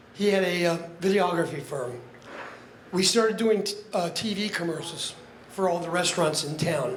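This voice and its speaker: Over noticeable background noise and audible room echo, a man with a high pitch talks at a moderate pace with ordinary pitch variation. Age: 70s. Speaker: retired public relations businessman, friend of deceased. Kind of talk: eulogy. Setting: memorial gathering with audience. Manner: emotional, halting.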